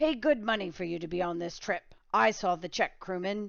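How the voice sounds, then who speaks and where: A put-on character voice, female-sounding, raspy and rumbling, at a middle pitch and a moderate pace. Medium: read story. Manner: curt, commanding.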